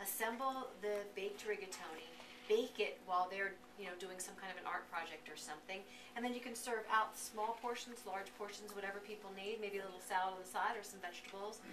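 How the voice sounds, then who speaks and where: Over noticeable background noise, a woman speaks at a fairly quick pace with fairly even intonation. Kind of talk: interview answer. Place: kitchen.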